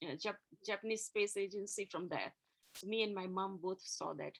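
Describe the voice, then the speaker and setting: A woman's bright, sharp tone with a Gujarati accent. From India, Gujarati community. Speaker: interview guest, engineer. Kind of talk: interview about faith and life. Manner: hesitant, many fillers.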